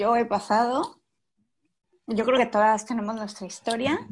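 A woman speaks with a Mexican accent against a quiet background. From Mexico. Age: 40s. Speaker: course participant. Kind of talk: personal testimony.

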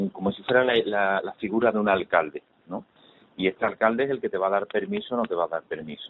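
With ordinary pitch variation, a man speaks at a moderate pace and a fairly low pitch. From Spain, Málaga (Andalusia). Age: 40s. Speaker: charity volunteer. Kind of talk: interview. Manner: halting.

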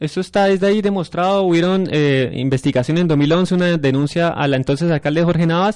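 A man speaks at a high pitch with ordinary pitch variation. His pace is moderate. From Colombia, Santander (San Gil). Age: 20s. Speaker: university student and council candidate. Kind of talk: radio panel discussion.

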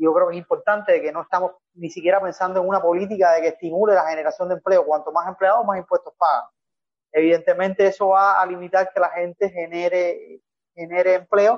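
Speaking very fast in a flat, monotone way, the man has a high pitch for a man. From Cuba, Madruga. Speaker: professor and business advisor. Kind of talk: panel discussion. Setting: video call.

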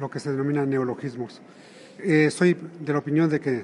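Moderate pace and fairly even intonation from a man at fairly high pitch. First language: Otomi (Hñähñu) (speaking Spanish). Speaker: writer and literary translator. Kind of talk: interview. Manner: halting.

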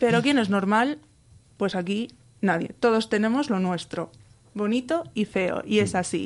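A woman with an unremarkable speaking voice talks at a medium pitch with ordinary pitch variation. Her pace is fairly slow, and the background is quiet. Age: 20s. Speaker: epilepsy patient and blogger. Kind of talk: interview testimony.

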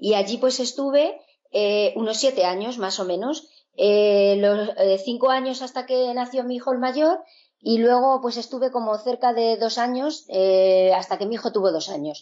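A woman's high-pitched voice at a fairly slow pace. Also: ordinary pitch variation. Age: 50s. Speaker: sewing teacher. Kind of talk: interview conversation.

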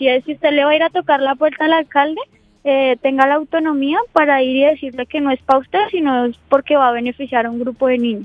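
A woman speaks at a fairly quick pace. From Colombia, Huila. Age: 20s. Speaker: displaced woman, sports school founder. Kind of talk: radio interview.

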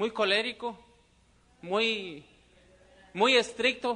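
The man's voice sits at an extremely high pitch for a man. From Mexico, Guanajuato. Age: 30s. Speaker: network marketing business speaker. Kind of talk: motivational seminar talk. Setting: stage with audience.

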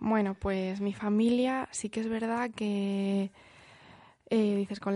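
In a monotone, flat delivery, a woman of medium pitch speaks with a dark, mellow tone. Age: 20s. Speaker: nurse, international volunteer. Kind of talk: interview.

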